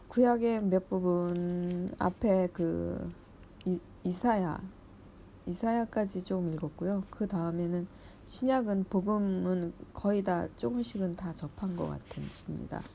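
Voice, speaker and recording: Very slow delivery in a dark, mellow tone, its pitch varying in an ordinary way. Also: woman, medium pitch for a woman. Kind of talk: reading aloud Bible commentary with personal remarks. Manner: halting with self-corrections.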